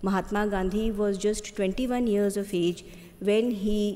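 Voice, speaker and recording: Speaking with an Indian accent, a woman goes at a fairly slow pace with fairly even intonation. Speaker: government secretary. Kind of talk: formal welcome address. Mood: earnest, inspirational. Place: hall. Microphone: podium.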